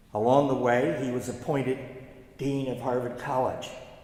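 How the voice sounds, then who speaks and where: A man speaks at a moderate pace with a medium pitch. Room echo is audible, and background noise is noticeable. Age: 80s+. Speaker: Harvard alumnus and son of war casualty. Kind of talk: memorial speech. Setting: church.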